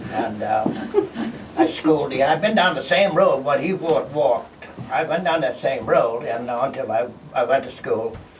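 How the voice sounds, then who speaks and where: Noticeable background noise runs under a man's voice. The room adds an audible echo. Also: moderate pace. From Bahamas, Green Turtle Cay. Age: 80s+. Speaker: retired fisherman. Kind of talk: storytelling talk. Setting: stage with audience. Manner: halting.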